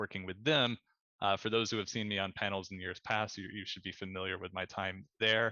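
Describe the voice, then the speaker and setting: A man speaks at a fairly low pitch with a monotone, flat intonation. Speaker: interactive design studio co-founder. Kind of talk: conference panel presentation. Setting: video call. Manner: fast; many filler words and hesitations.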